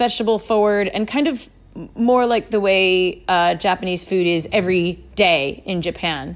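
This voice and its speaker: In a very clean recording with a silent background, a woman talks in a plain, everyday voice, her medium pitch showing ordinary variation. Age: 30s. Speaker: chef. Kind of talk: casual chat.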